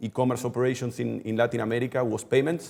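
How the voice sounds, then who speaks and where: A medium-pitched man with a Spanish accent. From Argentina. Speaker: e-commerce executive. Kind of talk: webinar interview. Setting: live webinar. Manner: halting.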